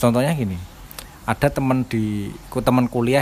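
A man talks at a moderate pace with noticeable background noise present. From Java. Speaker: podcast co-host. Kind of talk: casual chat.

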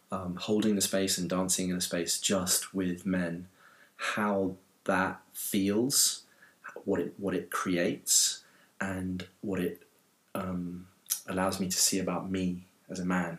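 A man speaks with a very deep, low pitch in a monotone, flat intonation. His pace is very slow, with long, frequent pauses. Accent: London. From London. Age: 40s. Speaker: dance movement teacher. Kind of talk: casual interview. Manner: halting, many repetitions.

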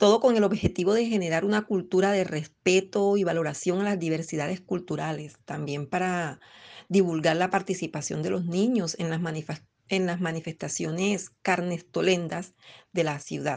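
Against a quiet background, a woman has an ordinary speaking voice with a fairly low pitch. She keeps a moderate pace and fairly even intonation. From Colombian Caribbean coast (Bolívar). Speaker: poet and teacher. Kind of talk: interview with poetry reading.

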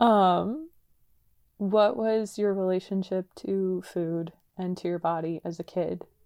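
Dark and mellow in tone, the voice has a Californian accent. It goes very slowly with fairly even intonation. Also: woman. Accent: Californian American. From San Diego, California. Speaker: podcast co-host. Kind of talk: casual chat.

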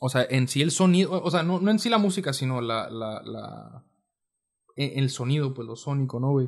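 With lively intonation and a medium pitch, a man speaks at a moderate pace. His voice is somewhat breathy over a quiet background. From Mexicali, Baja California, Mexico. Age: 20s. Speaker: musician. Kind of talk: casual chat.

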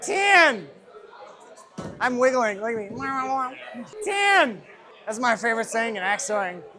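The voice is raised and projected, with very wide pitch swings and big swings in loudness over noticeable background noise. It moves at a very slow pace with long, frequent pauses. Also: man, extremely high pitch for a man. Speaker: axe thrower. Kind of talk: casual trash talk during match. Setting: axe throwing venue, personal mic. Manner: loud, excitable, swearing.

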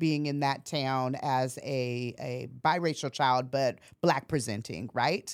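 In a very clean recording with a silent background, a woman speaks at a very slow pace with an American accent. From US Pacific Northwest, Portland, Oregon. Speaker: college administrator. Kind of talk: interview.

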